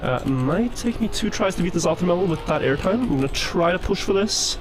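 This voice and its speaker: A high-pitched man with a Norwegian accent, fairly quick and lively in intonation, his loudness very even, with music in the background. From Norway. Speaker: speedrunner. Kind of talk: live gameplay commentary.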